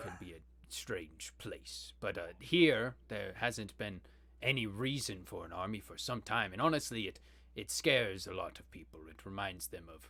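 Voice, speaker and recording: In a put-on character voice, a man speaks at a medium pitch and moderate pace with big swings in loudness on a very clean recording with a silent background. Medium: actual play. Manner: hesitant, polite.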